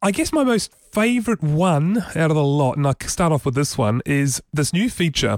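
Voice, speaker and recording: A man's fairly high voice at a moderate pace, with very wide pitch swings and very even loudness, in a dry, close recording with no echo, very clean with a silent background. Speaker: tech podcast host. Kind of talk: casual chat, tech news discussion. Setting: studio.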